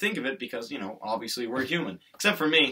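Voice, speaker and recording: A man speaks at a fairly quick pace. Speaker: video commentator.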